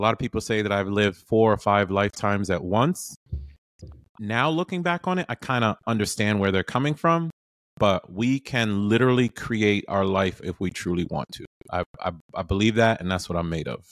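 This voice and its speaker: An ordinary speaking voice: a man with a fairly low pitch and lively intonation talks at a fairly quick pace in a dry, close recording with no echo, very clean with a silent background. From US Northeast, inner-city Boston (Haitian immigrant). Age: 40s. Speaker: entrepreneur and former executive and police officer. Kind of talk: podcast interview. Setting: studio.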